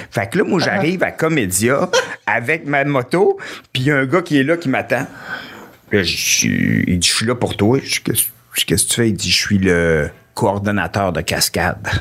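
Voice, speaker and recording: A man speaks at a medium pitch with very wide swings up and down, his loudness staying very even. He talks at a fairly slow pace, with long pauses coming often. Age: 40s. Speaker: comedian. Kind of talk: casual chat.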